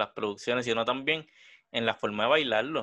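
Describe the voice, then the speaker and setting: A man with a Puerto Rican accent. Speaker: podcast co-host. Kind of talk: casual chat. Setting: studio.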